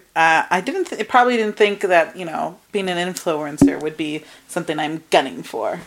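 A woman speaks in a New Jersey accent at a moderate pace, her pitch fairly low and her tone animated. Noticeable background noise sits behind her. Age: 20s. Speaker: podcast co-host. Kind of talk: casual chat. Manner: animated, frequent laughter.

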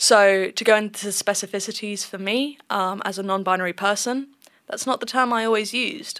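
With a southern English accent, the voice has a bright, sharp tone on a very clean recording with a silent background. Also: woman. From southern England. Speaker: gender researcher. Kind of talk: interview.

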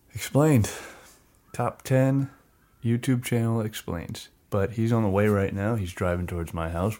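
A man is talking. His pace is moderate. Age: 20s. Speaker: podcast host. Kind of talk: casual chat.

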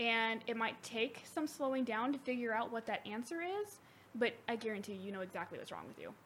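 Talking fairly quickly, a woman with a fairly high pitch has a normal speaking voice. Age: 20s. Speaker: returning guest, friend of host. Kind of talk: casual chat.

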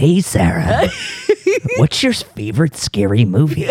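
A man puts on a character voice, pitched medium for him, and moves at a fairly slow pace. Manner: creepy, menacing.

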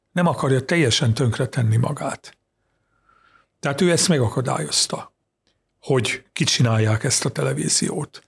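Speaking at a moderate pace with long, frequent pauses, a man with a medium pitch and vocal fry uses lively intonation at a very even loudness. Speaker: journalist, Poland expert. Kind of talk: interview on politics. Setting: studio.

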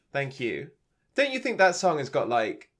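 Here is a man with an English accent. The recording is very clean, with a silent background. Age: 30s. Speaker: podcast host. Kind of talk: casual chat.

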